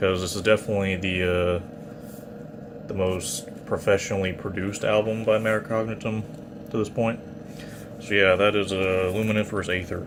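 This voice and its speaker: Against noticeable background noise, a man speaks at a fairly low pitch with monotone, flat intonation. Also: moderate pace. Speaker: metal vinyl collector YouTuber. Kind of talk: casual show-and-tell video. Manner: hesitant with fillers.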